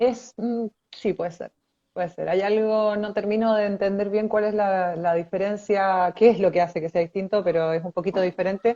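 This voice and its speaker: Dark and mellow in tone, this voice sounds dry and close, without any echo. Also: woman. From Chile. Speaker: architect. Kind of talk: interview. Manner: hesitant, many fillers.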